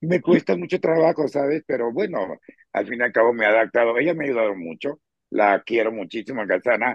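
Speaking in a normal speaking voice, a man moves at a fairly quick pace with medium pitch and lively intonation. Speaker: co-host. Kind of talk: casual chat.

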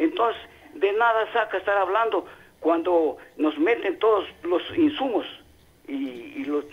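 A man at a fairly slow pace. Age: 70s. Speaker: radio caller. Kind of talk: call-in comment. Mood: critical, earnest argument. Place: studio.

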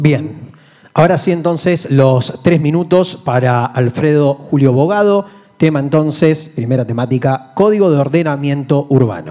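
Over a quiet background, a man with a fairly high pitch talks at a fairly slow pace, with ordinary pitch variation and very even loudness. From Argentina. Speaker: debate moderator. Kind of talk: debate moderation. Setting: convention centre, live streamed. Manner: formal. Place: hall. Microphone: podium.

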